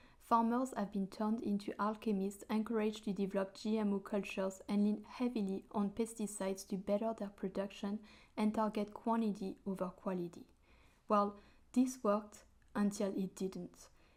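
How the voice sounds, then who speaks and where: This woman speaks with a French accent. Her intonation is monotone and flat. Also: medium pitch for a woman, moderate pace. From France, French Alps. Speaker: hydroponics hobbyist and video creator. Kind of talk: scripted narration.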